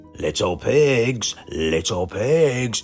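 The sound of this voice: Over faint music in the background, a man bellows in a put-on character voice with a British accent, fairly low in pitch and slightly mellow in tone, moving very slowly through big pitch swings.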